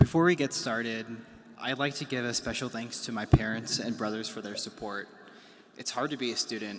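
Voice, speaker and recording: A man talks fairly quickly in an unremarkable speaking voice at medium pitch. His loudness swings widely. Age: 20s. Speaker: student government president. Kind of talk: commencement speech. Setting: graduation ceremony.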